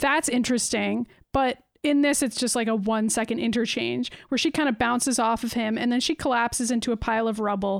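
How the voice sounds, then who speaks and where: A woman with a fairly high pitch speaks at a fairly quick pace in an unremarkable speaking voice. Her intonation is fairly even, her loudness very even, and the recording very clean with a silent background. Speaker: podcast co-host. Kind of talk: casual chat.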